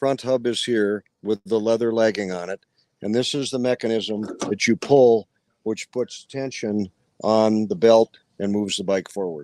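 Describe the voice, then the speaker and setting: A man speaks at a moderate pace and medium pitch in a dark, mellow tone with ordinary pitch variation, the sound dry and close with no echo. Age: 70s. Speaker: vintage motorcycle rally rider. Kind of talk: casual interview.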